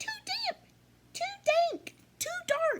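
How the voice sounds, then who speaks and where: A squeaky put-on character voice rises to an extremely high pitch. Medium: read story.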